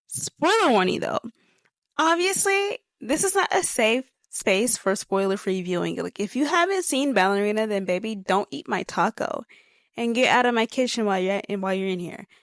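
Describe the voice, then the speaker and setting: A woman with a fairly high pitch speaks with very wide pitch swings. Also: moderate pace. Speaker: movie reviewer. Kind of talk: casual talk to camera. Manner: rambling, stuttering; chatty, energetic.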